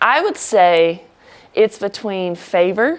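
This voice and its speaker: Here a woman speaks with an Alabama accent. Her intonation is lively. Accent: Southern US (Alabama). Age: 20s. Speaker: college basketball player. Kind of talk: casual interview.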